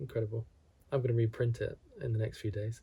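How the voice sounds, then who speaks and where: Somewhat breathy and dark, mellow in tone, a man speaks at a medium pitch and a fairly quick pace. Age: 50s. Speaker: wellness vlogger. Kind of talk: reflective monologue. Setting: at home alone. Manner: calm.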